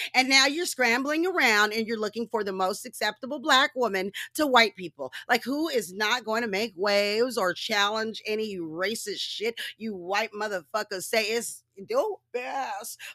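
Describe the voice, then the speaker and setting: In a dry, close recording with no echo, a woman speaks at a moderate pace with a fairly high pitch, a bright, sharp tone, lively intonation and an animated delivery. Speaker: podcast host. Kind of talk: solo rant. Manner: stumbling over words.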